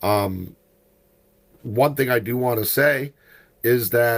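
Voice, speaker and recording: The voice moves at a very slow pace with ordinary pitch variation. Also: man. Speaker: podcast host. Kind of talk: casual chat.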